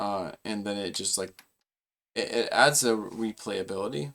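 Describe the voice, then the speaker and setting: This is a man speaking at a medium pitch. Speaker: gaming streamer. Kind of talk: casual chat. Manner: halting; slow.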